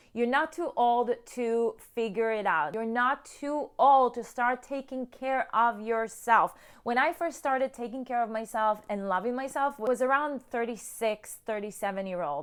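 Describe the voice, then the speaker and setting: Loud and animated, a woman with a high voice speaks at a moderate pace with ordinary pitch variation on a very clean recording with a silent background. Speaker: self-love coach. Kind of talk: motivational talk to camera.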